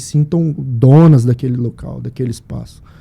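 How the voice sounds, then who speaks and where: A man with a dark, mellow tone sounds somewhat breathy, his pitch showing ordinary variation. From Brazil, Mato Grosso (Sinop). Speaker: podcast host. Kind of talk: casual chat.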